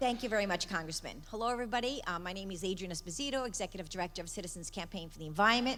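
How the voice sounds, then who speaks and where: A very fast, lively woman's voice at medium pitch, bright and sharp in tone, with an American accent, hardly any pauses, and audible room echo. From Long Island, New York. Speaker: environmental group leader. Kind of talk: conference speech.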